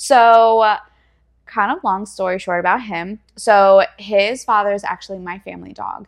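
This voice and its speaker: In an American accent, a woman with an unremarkable speaking voice talks at a fairly slow pace and medium pitch, her intonation fairly even but her loudness swinging widely, over a quiet background. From US Northeast, Pennsylvania. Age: 20s. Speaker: fitness competitor and personal trainer. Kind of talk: casual interview chat. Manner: laughs often.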